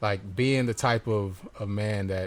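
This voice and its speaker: Someone with an American accent speaks with fairly even intonation. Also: man. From US South, Georgia (College Park / Atlanta). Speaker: podcast host and singer. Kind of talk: casual chat. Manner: soft-spoken.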